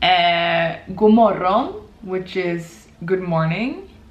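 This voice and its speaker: A woman at medium pitch with a Swedish accent. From Sweden. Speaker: YouTuber. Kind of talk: casual language lesson to camera. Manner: casual, chatty.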